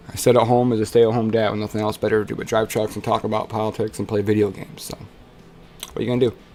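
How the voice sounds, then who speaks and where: Over noticeable background noise, a man with a fairly low pitch talks at a very fast pace in a monotone, flat intonation. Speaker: streamer reading a transcript while gaming. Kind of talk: casual live stream reading aloud with commentary.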